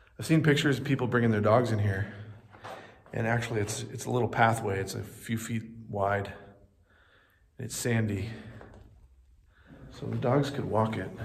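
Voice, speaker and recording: Vocal fry at a moderate pace, with ordinary pitch variation, long, frequent pauses and light background noise. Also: man. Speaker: travel vlogger. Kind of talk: casual vlog chat. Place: tunnel cave. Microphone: phone near.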